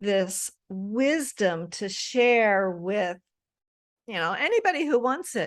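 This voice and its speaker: Speaking at a very slow pace, a woman with a medium-pitched voice uses lively intonation. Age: 60s. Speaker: menopause coach. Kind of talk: casual interview chat. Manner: halting, many restarts.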